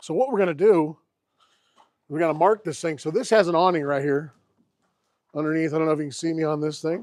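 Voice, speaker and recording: With a fairly high pitch and ordinary pitch variation, a man talks at a very fast pace broken by long, frequent pauses. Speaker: classic car YouTuber. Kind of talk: live stream chat. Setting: outdoors. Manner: loud.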